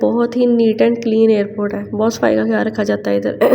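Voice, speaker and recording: A woman speaks over noticeable background noise. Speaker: vlogger. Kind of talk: casual vlog. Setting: outdoors and in airport.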